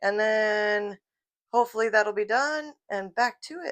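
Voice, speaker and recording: Over a quiet background, the voice has a bright, sharp tone and lively intonation. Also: woman. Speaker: home cook vlogger. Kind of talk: cooking tutorial. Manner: casual, chatty.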